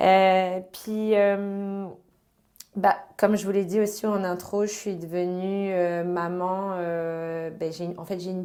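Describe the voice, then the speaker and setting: A woman's dark, mellow tone at medium pitch, monotone and flat, at a very slow pace. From France, Brittany. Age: 30s. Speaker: guest, housing nonprofit co-founder. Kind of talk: podcast interview.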